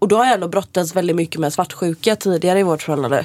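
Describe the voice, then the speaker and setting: Talking very fast, a woman uses a fairly low pitch with ordinary pitch variation. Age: 20s. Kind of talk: casual chat.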